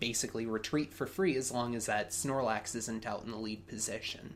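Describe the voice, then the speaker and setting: This man talks in a plain, everyday voice. It sits at a medium pitch and varies in an ordinary way. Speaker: podcast co-host and Pokemon commentator. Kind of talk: live sports-style game commentary. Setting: recorded commentary over a game video.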